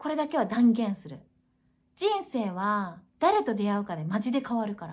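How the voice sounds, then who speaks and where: A woman with a fairly high pitch speaks in an animated tone at a moderate pace, her intonation lively and her voice somewhat breathy. Her loudness swings a lot against a quiet background. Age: 40s. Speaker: YouTuber; self-help vlogger. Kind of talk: casual monologue. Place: home room. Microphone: webcam.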